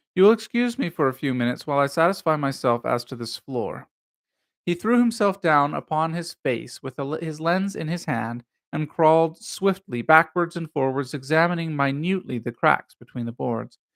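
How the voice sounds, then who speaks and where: A man with a normal speaking voice and a fairly high pitch talks at a moderate pace with lively intonation. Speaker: live stream reader. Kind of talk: read-aloud of a classic mystery story.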